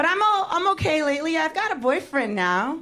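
Audible room echo and noticeable background noise fill the recording. The voice shows very wide pitch swings at a moderate pace. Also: woman. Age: 30s. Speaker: stand-up comedian. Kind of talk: stand-up. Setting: stage with audience.

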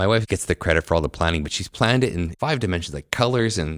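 The speaker has vocal fry, lively intonation, and a Canadian accent. The recording is very clean with a silent background, dry and close with no echo. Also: man. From Canada, Winnipeg. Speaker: orthodontist. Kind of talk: casual chat. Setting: conference venue.

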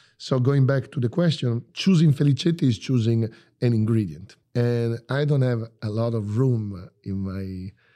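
In an Italian accent, a man with a medium pitch and a dark, mellow tone speaks with ordinary pitch variation on a very clean recording with a silent background. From Bologna, Italy. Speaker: chef. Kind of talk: interview. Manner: animated.

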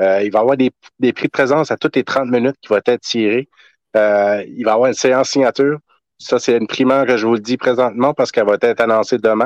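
Against a quiet background, the very fast speech has fairly even intonation, very even loudness and a dry, close sound with no echo. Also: man. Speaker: soldier and collector event organizer. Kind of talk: interview.

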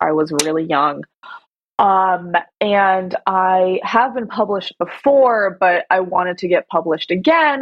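At a fairly slow pace, a woman talks with a medium pitch in an unremarkable speaking voice. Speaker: attorney. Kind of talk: casual interview.

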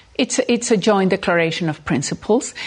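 In a Spanish accent, a woman speaks at a moderate pace with a medium pitch and ordinary pitch variation. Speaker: diplomat. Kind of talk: political interview. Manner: halting.

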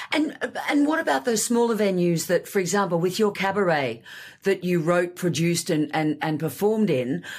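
Her loudness very even, a woman with an Australian accent speaks with lively intonation. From Australia (Sydney). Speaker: podcast host. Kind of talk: casual interview chat.

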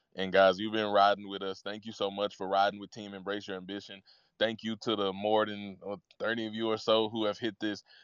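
A man with a fairly low pitch at a fairly quick pace, against a quiet background. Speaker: motivational speaker. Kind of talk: motivational talk. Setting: live audio room online. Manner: animated.

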